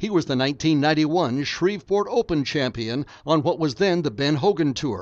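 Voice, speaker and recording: In a plain, everyday voice, a man talks at a fairly high pitch and moderate pace, with lively intonation and hardly any pauses. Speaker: voiceover narrator. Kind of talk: hall of fame tribute voiceover, scripted narration. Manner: formal, steady and polished, reverent with light humor.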